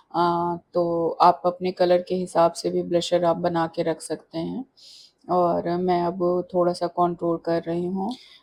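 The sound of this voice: In a fairly low pitch and a slightly mellow tone, a woman speaks slowly with monotone, flat intonation.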